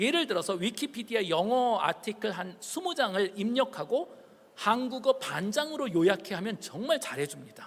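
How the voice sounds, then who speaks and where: A man with a high voice whose pitch swings very widely. He speaks at a moderate pace over noticeable background noise. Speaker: professor. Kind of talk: public lecture.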